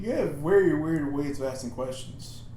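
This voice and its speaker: A man's put-on character voice, fairly high in pitch, at a moderate pace with slight echo. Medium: actual play.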